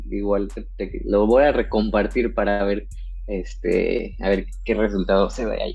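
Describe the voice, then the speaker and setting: The man's speech is rather slow. Echo from the room can be heard around it. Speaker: wedding photographer. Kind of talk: casual interview. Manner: hesitant, many fillers.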